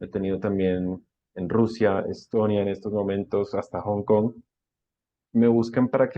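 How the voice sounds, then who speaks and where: This man has an unremarkable speaking voice pitched fairly low. He talks at a moderate pace with fairly even intonation. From Colombia. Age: 30s. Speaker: online language teacher. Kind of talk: interview.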